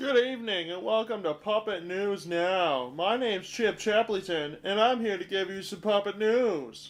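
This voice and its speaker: This put-on character voice moves at a moderate pace with hardly any pauses. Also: man, high pitch for a man. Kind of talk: mock TV news anchor.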